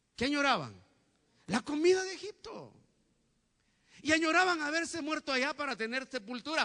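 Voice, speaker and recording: Man with an extremely high pitch, a bright, sharp, animated tone and lively intonation, his voice raised and projected, at a moderate pace broken by long, frequent pauses. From Guatemala, Huehuetenango (western highlands). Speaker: pastor. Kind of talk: sermon. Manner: animated, frequent rhetorical questions.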